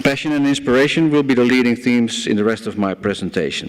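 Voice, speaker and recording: A man speaks with a Dutch accent and lively intonation at a moderate pace. Noticeable background noise runs underneath. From Netherlands, Amsterdam. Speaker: banker and conference speaker. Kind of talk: conference speech.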